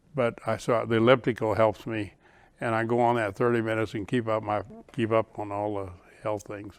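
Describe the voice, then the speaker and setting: On a very clean recording with a silent background, a man speaks at a fairly quick pace in a medium pitch with monotone, flat intonation. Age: 80s+. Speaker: retirement community founder and resident. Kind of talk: interview.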